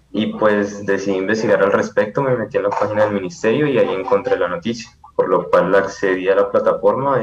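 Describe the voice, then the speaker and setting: A man talks at a fairly quick pace with hardly any pauses. Noticeable background noise runs behind him. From Colombia, Palmira (Valle del Cauca). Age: 20s. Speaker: software programmer. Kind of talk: interview.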